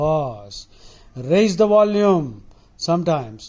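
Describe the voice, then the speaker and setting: The man's voice has a dark, mellow tone. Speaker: public speaking teacher. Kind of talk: lecture.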